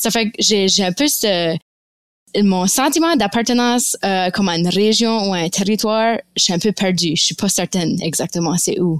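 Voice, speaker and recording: An ordinary speaking voice from a woman, medium in pitch, with lively intonation, very even loudness and a moderate pace, in a dry, close sound with no echo on a very clean recording with a silent background. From Fredericton, New Brunswick, Canada (Acadian family from Nova Scotia). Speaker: graduate student and community volunteer. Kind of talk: casual interview conversation.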